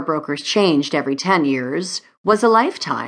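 A woman speaks at a moderate pace with lively intonation in a plain, everyday voice. The background is quiet. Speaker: audiobook narrator. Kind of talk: dramatic audiobook narration, glamorous romance. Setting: studio. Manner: smooth, expressive, sultry and urgent in tense moments.

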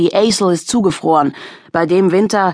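A woman's tearful voice at a moderate pace, dry and close with no echo. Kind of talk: audiobook dramatic narration. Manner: tense, emotionally charged, hushed with near-tearful intensity.

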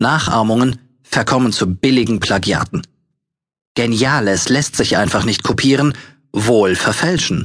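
Lively intonation from a man at a moderate pace, his pitch sitting in the medium range. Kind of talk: audiobook narration with sales-pitch urgency.

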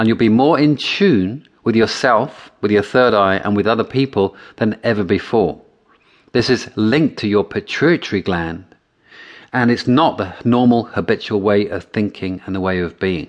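A man with a plain, everyday voice speaks at a moderate pace and fairly low pitch, using ordinary pitch variation. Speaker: NLP practitioner and audiobook narrator. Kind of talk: guided meditation. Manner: instructional, with long pauses.

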